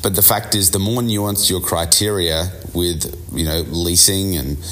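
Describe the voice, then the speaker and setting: A man with a very deep, low voice and fairly even intonation. Noticeable background noise and audible room echo surround him. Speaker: business coach podcast host. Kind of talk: solo business podcast monologue.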